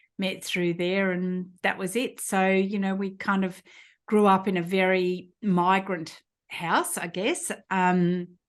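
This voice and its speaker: A woman with an Australian accent speaks at a very slow pace, her pitch medium. Her intonation is monotone and flat against a quiet background. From rural New South Wales, Australia. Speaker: physiotherapist and entrepreneur. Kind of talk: interview. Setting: podcast. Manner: many filler words.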